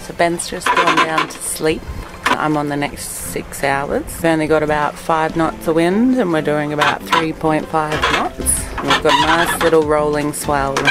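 Over loud background noise, a woman speaks at a fairly slow pace. Her pitch variation is ordinary. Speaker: sailor vlogger. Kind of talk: casual vlog chat. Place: boat. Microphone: phone near.

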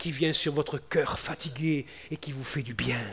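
A man speaks with fairly even intonation. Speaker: preacher. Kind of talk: evangelical sermon, Bible exposition turning into prayer. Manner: repetitive, emotional, moving to a pleading prayer.

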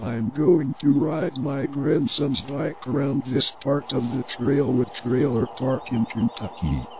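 A man uses a put-on character voice at a medium pitch. He talks at a fairly slow pace over clear background noise. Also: hardly any pauses. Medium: machinima. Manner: gleeful.

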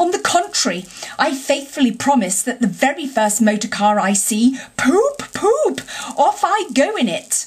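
This is a put-on character voice that sounds female, pitched high with very wide pitch swings. It moves at a moderate pace. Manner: impatient, defiant, emphatic.

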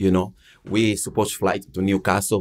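A man with a Portuguese accent against a quiet background. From Angola, raised in Portugal from age 10. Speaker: ex-footballer; guest. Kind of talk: casual chat. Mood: lively, humorous. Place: studio. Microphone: studio mic.

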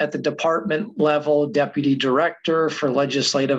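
With a quiet background behind him, the man speaks at a moderate pace and uses ordinary pitch variation. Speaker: guest, adjunct professor. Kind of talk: lecture. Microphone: webcam.

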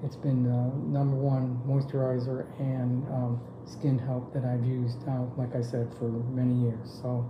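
A man speaks at a fairly slow pace in a medium pitch, his intonation monotone and flat, with noticeable background noise behind him. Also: hardly any pauses. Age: 60s. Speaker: customer giving product testimonial. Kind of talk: customer testimonial to camera. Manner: casual, hesitant with filler words. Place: home room. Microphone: phone near.

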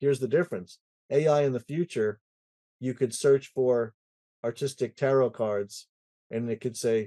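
Against a quiet background, a man with a dark, mellow tone talks at a moderate pace, with ordinary pitch variation and long, frequent pauses. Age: 60s. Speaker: IT consultancy president and conference founder; podcast guest. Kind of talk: casual interview chat. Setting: home music studio. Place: home room. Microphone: webcam.

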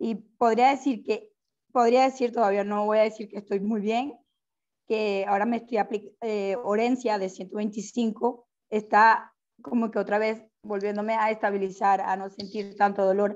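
Fairly even intonation at a fairly slow pace, against a quiet background. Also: woman, fairly high pitch for a woman. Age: 30s. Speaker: arthritis patient. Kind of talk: audience question. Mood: earnest, somewhat worried. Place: home room. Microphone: earbuds.

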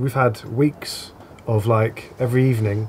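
A man speaks with monotone, flat intonation. Light background noise is present. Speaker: interviewee. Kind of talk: interview answer. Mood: relaxed, loose chat. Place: bar.

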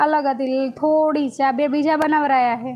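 This is a woman speaking in a high-pitched voice. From north Gujarat, India (Radhanpur, Patan district). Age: young. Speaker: YouTuber live streamer. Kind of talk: casual live stream chat reading comments. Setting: live stream at home.

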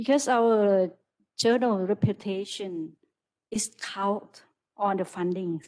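Against a quiet background, a woman speaks very slowly with long, frequent pauses. Her voice is medium in pitch with ordinary pitch variation. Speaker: university lecturer. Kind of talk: discussion remarks after lecture. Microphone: video call.

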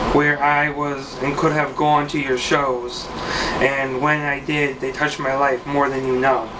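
Over noticeable background noise, a man talks at a very slow pace. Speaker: poet. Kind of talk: spoken word poem, read aloud with rhyme. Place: home room. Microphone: webcam.

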